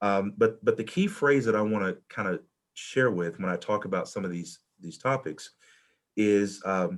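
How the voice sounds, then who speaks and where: This man talks at a moderate pace with a fairly low pitch and ordinary pitch variation. The recording is very clean, with a silent background. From US South. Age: 40s. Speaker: college administrator and panelist. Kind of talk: panel talk sharing personal experience. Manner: halting, many fillers and repetitions.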